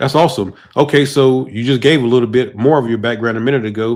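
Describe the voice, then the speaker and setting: At a fairly quick pace, a man speaks in a plain, everyday voice of medium pitch with fairly even intonation. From South Georgia, US South. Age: 40s. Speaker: podcast host. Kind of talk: casual interview.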